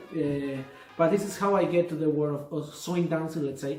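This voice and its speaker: There is audible room echo and noticeable background noise. A man with a Spanish accent and fairly high pitch speaks at a moderate pace. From Argentina. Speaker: swing dance teacher. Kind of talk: casual interview. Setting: video call.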